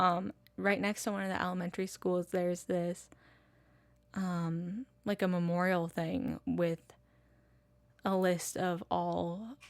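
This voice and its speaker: A woman with an American accent and a fairly low pitch, fairly even intonation, and long, frequent pauses, on a very clean recording with a silent background. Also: fairly slow pace. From Massachusetts. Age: 20s. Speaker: podcaster. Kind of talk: casual monologue. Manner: casual, filler-heavy.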